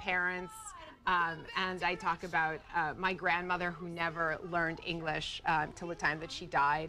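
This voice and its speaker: Moderate pace from a woman with a fairly low pitch, music in the background. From Russia. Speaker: playwright and actress. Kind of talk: TV interview. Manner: hesitant, many fillers.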